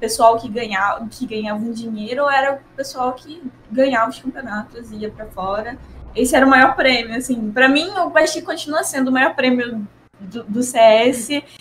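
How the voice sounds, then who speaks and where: A woman with a high voice speaks at a moderate pace with ordinary pitch variation. Noticeable background noise is heard behind her. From Rio de Janeiro, Brazil. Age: 20s. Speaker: professional esports player. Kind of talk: casual interview.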